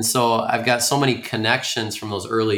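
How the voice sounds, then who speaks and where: In a very clean recording with a silent background, this man's fairly low voice holds fairly even intonation. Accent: Upper Midwest. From Minnesota, Twin Cities suburbs. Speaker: high school coach and principal. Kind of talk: interview conversation. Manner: frequent fillers and repetitions.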